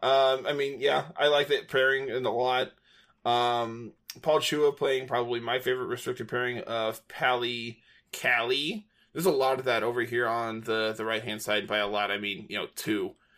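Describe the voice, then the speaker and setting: A man with an American accent talks in a normal speaking voice at a moderate pace. His pitch is medium, with ordinary pitch variation. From United States. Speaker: podcast host. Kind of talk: casual chat.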